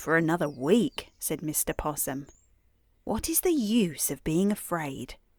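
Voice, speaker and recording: In a very clean recording with a silent background, a woman with a British accent speaks at a fairly slow pace in a fairly low pitch with very wide pitch swings. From England. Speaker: bedtime storyteller. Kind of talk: sleep story. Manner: slow, sleepy.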